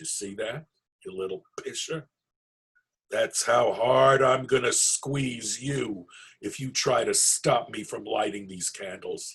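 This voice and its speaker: A man's raspy put-on character voice, fairly slow, with big swings in loudness. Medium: read story. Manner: cocky, teasing.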